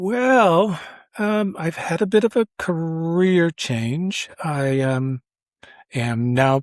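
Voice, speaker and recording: Recorded very cleanly against a silent background, a man speaks with a high pitch and lively intonation. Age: 60s. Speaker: retired sociology professor. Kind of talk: interview.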